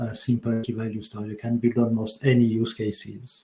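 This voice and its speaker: With a French accent, a man speaks in a somewhat breathy, dark, mellow tone at a medium pitch. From France. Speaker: developer advocate. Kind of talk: tech talk. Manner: hesitant, many fillers.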